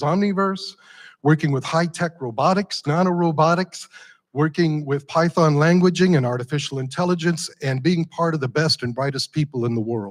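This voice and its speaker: A man with a plain, everyday voice, fairly high in pitch with ordinary variation, at a moderate pace, on a very clean recording with a silent background. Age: 60s. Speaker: nonprofit founder and entrepreneur presenter. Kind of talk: pitch presentation. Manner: conversational, addresses audience.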